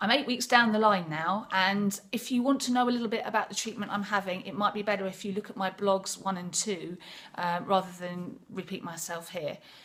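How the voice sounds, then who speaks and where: There is noticeable background noise as a woman talks at a moderate pace. Her pitch is medium, with ordinary variation. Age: 50s. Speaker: music PR and band singer. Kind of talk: casual video blog talk to camera. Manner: hesitant, chatty.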